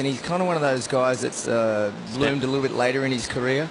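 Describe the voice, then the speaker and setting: Over noticeable background noise and audible room echo, a man with an Australian accent talks very fast at a medium pitch with very even loudness. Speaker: surf contest commentator. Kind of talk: live commentary. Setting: commentary booth.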